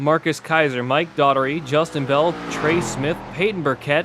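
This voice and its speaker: A man's fairly high voice, fairly slow and fairly even in intonation, with noticeable background noise. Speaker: sim racing broadcaster. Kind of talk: live commentary. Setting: home bedroom. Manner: monotone.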